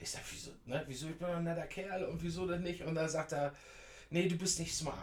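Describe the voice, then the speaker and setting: A man with a high voice and fairly even intonation speaks at a moderate pace amid audible room echo and noticeable background noise. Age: 50s. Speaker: scooter enthusiast. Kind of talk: interview. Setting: in person.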